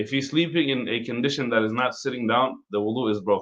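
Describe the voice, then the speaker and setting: Using an ordinary speaking voice, a man at medium pitch talks at a fairly quick pace with ordinary pitch variation. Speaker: imam teaching an Islamic law class. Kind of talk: religious lecture.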